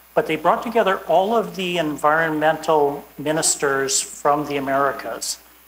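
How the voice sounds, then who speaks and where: A woman with a Canadian accent, very deep and low in pitch, with ordinary pitch variation, a moderate pace and hardly any pauses, over noticeable background noise. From Canada. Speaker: environmental law enforcement expert. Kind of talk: conference talk.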